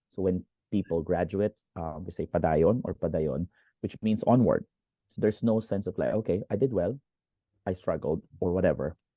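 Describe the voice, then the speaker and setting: A man with a Filipino accent speaks at a very deep, low pitch with ordinary pitch variation. He leaves long, frequent pauses. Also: moderate pace. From Philippines, Valenzuela (Metro Manila). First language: Tagalog. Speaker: teacher and motivational speaker. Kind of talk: interview.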